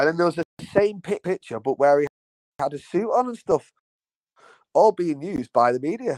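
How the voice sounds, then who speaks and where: A man with a high pitch and lively intonation speaks at a moderate pace, taking long, frequent pauses, in a dry, close sound with no echo. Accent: Manchester. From Manchester, England. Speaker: podcast co-host. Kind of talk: casual chat. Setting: remote call.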